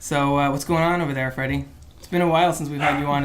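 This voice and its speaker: The voice keeps a fairly even intonation over noticeable background noise. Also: man. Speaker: podcast host. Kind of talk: casual chat. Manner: fast.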